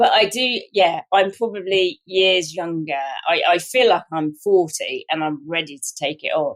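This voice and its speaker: A woman speaks at a medium pitch with a southern English accent. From southern England, Hampshire. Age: 60s. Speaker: wrongly prosecuted sub-postmaster. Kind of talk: interview. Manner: halting.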